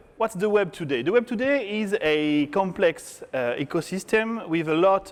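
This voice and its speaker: Speaking fairly slowly in a French accent, a man lets his pitch swing very widely. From France. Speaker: tech conference speaker, software developer. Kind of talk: conference talk. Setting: stage with audience.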